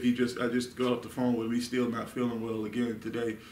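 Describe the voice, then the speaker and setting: The recording carries audible room echo and light background noise. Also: man. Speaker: Bible study teacher. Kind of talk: sermon. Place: meeting room. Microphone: camera far.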